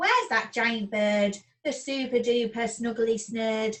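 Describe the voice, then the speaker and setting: A woman's put-on character voice, fairly high in pitch, fairly slow and with fairly even intonation. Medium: read story.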